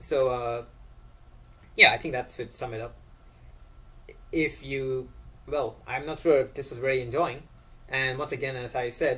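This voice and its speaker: A man's bright, sharp, medium-pitched voice, broken by long, frequent pauses. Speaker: YouTuber ranting about science and philosophy. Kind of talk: casual monologue to camera. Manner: fast; hesitant, many fillers.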